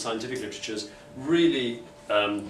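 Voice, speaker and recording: A man talks with ordinary pitch variation. There is audible room echo and light background noise. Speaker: speaker. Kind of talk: conference talk. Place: meeting room. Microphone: camera far.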